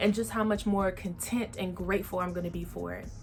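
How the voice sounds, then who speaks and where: A woman's medium-pitched voice with an American accent and fairly even intonation, amid noticeable background noise. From Texas, San Antonio. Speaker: podcast host. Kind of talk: casual vlog monologue.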